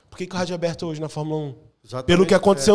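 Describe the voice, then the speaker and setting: A man speaks in a high voice. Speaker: podcast host. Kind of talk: podcast interview, conversational.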